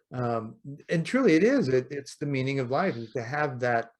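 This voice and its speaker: A man's unremarkable speaking voice at medium pitch, moderate pace and ordinary pitch variation, over a quiet background. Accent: American. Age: 60s. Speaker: podcast host. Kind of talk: interview.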